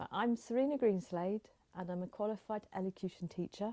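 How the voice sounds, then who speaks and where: A woman's dark, mellow tone at a moderate pace, with fairly even intonation and a dry, close sound with no echo. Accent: slight Dorset. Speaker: elocution teacher, voice confidence coach. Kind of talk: interview.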